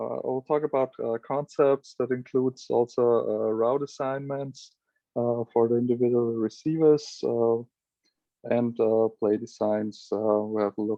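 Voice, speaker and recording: Speaking at a fairly slow pace with a non-native accent, a man keeps a medium pitch and fairly even intonation. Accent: non-native English, self-described. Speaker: flag football coach. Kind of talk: lecture. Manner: halting, many fillers.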